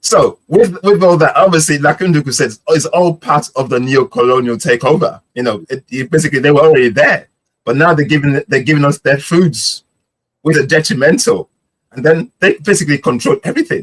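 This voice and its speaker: A man talks at a fairly quick pace in a fairly high pitch, with an animated tone and lively intonation. The sound is dry and close, with no echo. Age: 50s. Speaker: podcast co-host. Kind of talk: podcast discussion.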